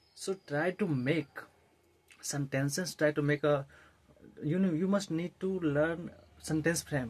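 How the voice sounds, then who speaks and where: A man with an Indian accent, fairly high pitch and ordinary pitch variation. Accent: Indian English, Hindi speaker. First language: Hindi. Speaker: English-learning YouTuber. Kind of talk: tutorial. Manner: halting, many fillers and restarts.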